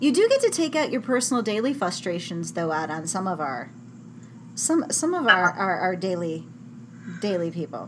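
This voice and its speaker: Her pitch swings very widely as the woman speaks at a fairly quick pace. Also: medium pitch for a woman. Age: 40s. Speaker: blog podcast host interviewing a fellow adult chat worker. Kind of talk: casual interview chat. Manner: giggly, laughs often.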